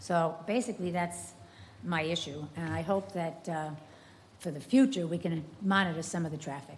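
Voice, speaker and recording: A somewhat breathy woman's voice, fairly low in pitch, with ordinary pitch variation at a moderate pace. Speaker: resident speaking at public comment. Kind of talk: public comment at city meeting. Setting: city commission meeting chamber. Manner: halting.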